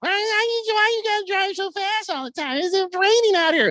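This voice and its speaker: A man puts on a squeaky character voice at an extremely high pitch. He keeps a moderate pace. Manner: fake high-pitched, complaining.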